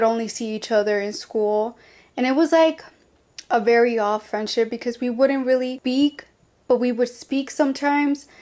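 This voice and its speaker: Intonation here is fairly even. The speaker talks with a Spanish accent. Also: woman. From Colombia. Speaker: podcast host. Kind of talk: personal storytelling podcast. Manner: casual, chatty.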